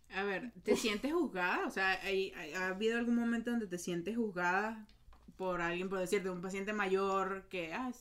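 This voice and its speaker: A woman with a normal speaking voice keeps a medium pitch and fairly even intonation while talking at a moderate pace. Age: 20s. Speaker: podcast host. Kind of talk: casual chat.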